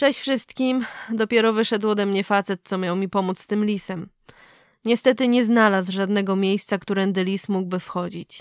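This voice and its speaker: A woman with an ordinary speaking voice, medium pitch, fairly even intonation and a moderate pace, on a very clean recording with a silent background. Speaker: vlogger reading horror story. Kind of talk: creepy vlog-style scripted horror story, ghost story telling.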